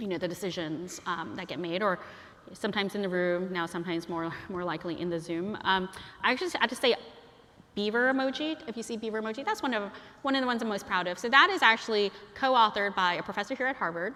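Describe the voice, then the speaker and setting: Amid noticeable background noise, a woman of medium pitch speaks at a very fast pace with lively intonation. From Chinese heritage, bilingual upbringing. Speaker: guest lecturer, emoji advocate. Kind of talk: lecture. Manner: casual, many fillers (um, like).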